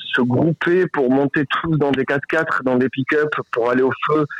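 A man with fairly even intonation. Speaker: volunteer fighting wildfires. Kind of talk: casual phone chat. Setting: phone call. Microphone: poor line, hard to hear.

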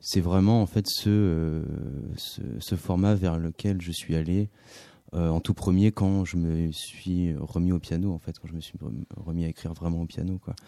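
Speaking at a fairly slow pace, a man with a very deep, low pitch and a dark, mellow tone keeps his intonation fairly even in a very clean recording with a silent background. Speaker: singer-songwriter. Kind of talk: radio interview. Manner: halting, hesitant.

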